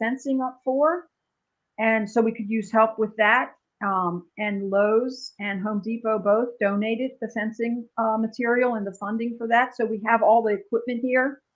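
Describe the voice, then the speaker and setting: At a moderate pace, a woman talks with an unremarkable speaking voice. Her pitch is fairly high and her intonation fairly even. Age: 60s. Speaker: animal sanctuary founder. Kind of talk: casual interview.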